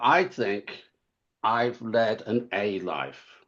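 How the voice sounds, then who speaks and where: Medium-pitched male voice with an English accent. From England. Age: 70s. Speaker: author. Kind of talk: interview. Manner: halting.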